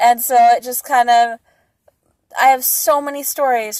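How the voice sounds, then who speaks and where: A woman with a high pitch, in a dry, close sound with no echo on a very clean recording with a silent background. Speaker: YouTuber storyteller. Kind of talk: casual storytelling. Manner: stutters; sidetracked, rambling.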